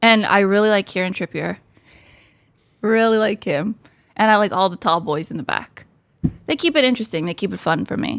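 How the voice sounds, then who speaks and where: Speaking with an American accent at a medium pitch, a woman moves at a fairly quick pace with lively intonation, an animated tone and long, frequent pauses, captured in a dry, close sound with no echo on a very clean recording with a silent background. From United States. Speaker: amateur football podcast host. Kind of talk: casual chat.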